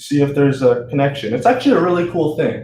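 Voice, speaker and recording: A somewhat breathy man with an American accent, amid audible room echo. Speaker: student tutor. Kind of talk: tutorial. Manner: animated; casual.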